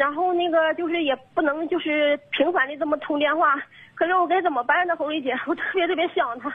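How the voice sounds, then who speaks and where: The delivery moves at a fairly quick pace. Pitch variation is ordinary. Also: woman. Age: 30s. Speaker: blind caller seeking advice. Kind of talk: emotional call-in confession. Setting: phone call. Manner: halting, many fillers.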